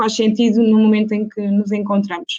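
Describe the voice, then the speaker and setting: At a fairly quick pace, a woman speaks with a fairly high pitch. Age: 20s. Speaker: university student, panelist. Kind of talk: online panel debate. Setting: live video stream. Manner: hesitant, many fillers.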